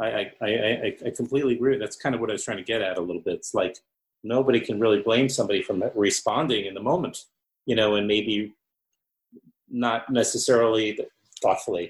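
Fairly quick in pace, a man talks at medium pitch with ordinary pitch variation. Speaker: podcast host. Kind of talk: interview podcast. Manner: halting, many fillers.

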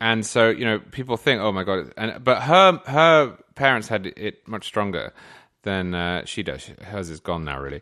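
A man with a British accent talks at a moderate pace in a fairly low voice, over a quiet background. His pitch swings very widely and his loudness swings a lot. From England. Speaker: magazine editor and commentator. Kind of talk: casual conversational interview.

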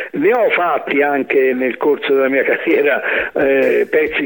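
Someone speaks with a Tuscan accent at a moderate pace over noticeable background noise. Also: man. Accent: Tuscan, still noticeable. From southern Italy, raised in Tuscany. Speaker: composer and music producer. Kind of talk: radio interview.

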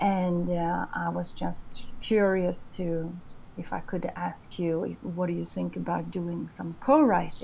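A woman with a Swedish accent talks at a fairly slow pace. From Sweden. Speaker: rock singer. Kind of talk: interview.

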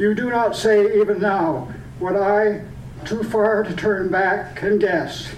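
Against noticeable background noise, a man speaks in a high voice with fairly even intonation. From Point Edward, Ontario. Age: 80s+. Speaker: poet. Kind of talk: poetry reading. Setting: restaurant event with audience.

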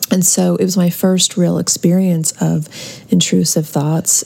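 A woman with a fairly low voice talks at a fairly quick pace, her pitch varying in an ordinary way, while noticeable background noise runs behind her. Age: 50s. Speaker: listener submitting question. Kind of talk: recorded voice message, personal account. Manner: halting, with fillers.

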